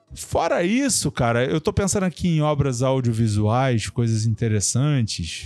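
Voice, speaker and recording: With an unremarkable speaking voice, a man talks at medium pitch and a moderate pace, using lively intonation, very even loudness and hardly any pauses. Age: 40s. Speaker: journalist and former doctor. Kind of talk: casual chat.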